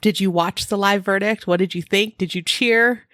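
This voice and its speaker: Recorded with a dry, close sound and no echo, a woman with a Californian accent speaks at a moderate pace and a fairly high pitch. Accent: California. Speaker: true crime podcast co-host. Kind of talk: casual podcast chat.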